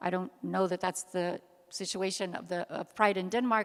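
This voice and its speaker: An ordinary speaking voice from a woman with an American accent, medium pitch, ordinary pitch variation and moderate pace, on a very clean recording with a silent background. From United States. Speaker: activist, panel speaker. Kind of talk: panel discussion Q&A.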